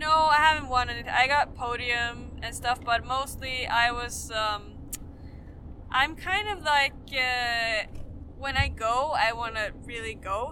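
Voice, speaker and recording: Over noticeable background noise, a woman with a Swedish accent talks at a fairly slow pace, her pitch high with ordinary variation. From Sweden. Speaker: professional skier. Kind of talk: casual interview.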